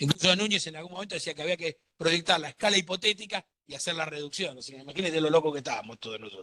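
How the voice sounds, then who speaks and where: Very fast and with hardly any pauses, a man speaks in a bright, sharp tone with ordinary pitch variation. His loudness swings widely, and the sound is dry and close with no echo. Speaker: law lecturer. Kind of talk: lecture.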